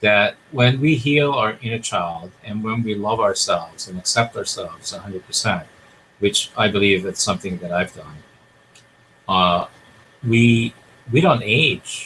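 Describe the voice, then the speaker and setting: Here a man talks at a fairly slow pace. His tone is bright and sharp, with lively intonation. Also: medium pitch for a man. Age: 60s. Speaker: talk show host, life coach. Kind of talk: interview chat. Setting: studio.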